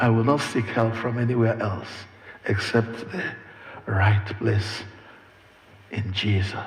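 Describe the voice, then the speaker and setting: With a Nigerian accent, a man speaks at a fairly slow pace and a medium pitch, using fairly even intonation and long, frequent pauses, amid audible room echo and noticeable background noise. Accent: Nigerian Igbo English. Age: 70s. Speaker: preacher. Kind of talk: sermon.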